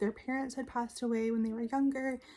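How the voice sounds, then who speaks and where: A woman is whispering. She is soft-spoken. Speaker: book reviewer. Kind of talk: casual talk to camera. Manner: soft-spoken, almost whispered.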